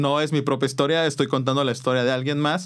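A man speaks with a Mexican accent. His pitch is medium. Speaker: podcast host and musician. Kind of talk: casual chat.

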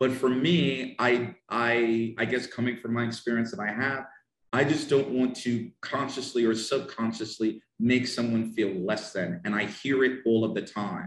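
With a northern New Jersey accent, a man talks at a fairly slow pace with a medium pitch and ordinary pitch variation. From US, northern New Jersey. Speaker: English teacher. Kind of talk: casual interview. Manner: animated.

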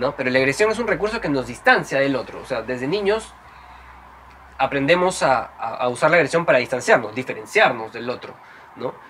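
Swinging very widely in pitch, a man speaks fairly high and at a fairly quick pace amid noticeable background noise. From Peru (Trujillo). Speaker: psychologist and podcast host. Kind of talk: interview conversation.

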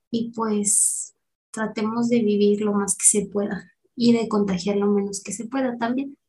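A woman's fairly high, somewhat breathy voice in a Mexican accent, dark and mellow in tone, with fairly even intonation. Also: fairly slow pace. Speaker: podcast co-host. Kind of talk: casual chat.

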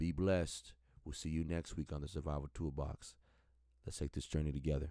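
On a very clean recording with a silent background, a man with a very deep, low pitch and a dark, mellow tone talks at a fairly quick pace in a monotone, flat delivery. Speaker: church elder giving a prayer. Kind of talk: fervent prayer, pleading and exhortation to God. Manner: earnest, impassioned, preacherly; rhythmic, repeating 'Father' between phrases.

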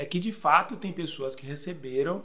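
Lively in intonation and fairly high in pitch, a man speaks at a moderate pace with audible room echo. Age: 40s. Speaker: pastor. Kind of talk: casual chat.

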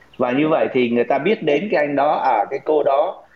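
Over noticeable background noise, a man with a fairly high voice speaks with lively intonation. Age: 50s. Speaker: senior executive and investment teacher. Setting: online call.

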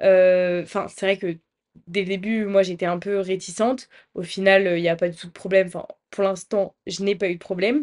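An ordinary speaking voice from a woman at medium pitch, moderate pace and fairly even intonation, with big swings in loudness against a quiet background. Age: 20s. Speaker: student podcaster. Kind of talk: casual monologue.

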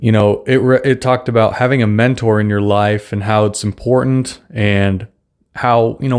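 Over a silent background in a very clean recording, a man speaks at a moderate pace with medium pitch in a flat monotone. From Russia. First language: Russian. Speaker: podcast host. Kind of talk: solo monologue podcast, casual. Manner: informal, rambling, conversational.

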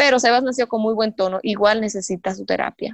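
In a dry, close sound with no echo, a woman with a plain, everyday voice talks at a fairly quick pace with ordinary pitch variation. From Dominican Republic. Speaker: mother of a child with Down syndrome. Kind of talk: casual interview.

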